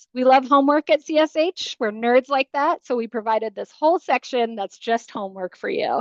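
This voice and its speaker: A woman's high-pitched voice with ordinary pitch variation, dry and close with no echo. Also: quiet background. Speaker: housing nonprofit presenter. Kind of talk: webinar presentation. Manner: fast; animated.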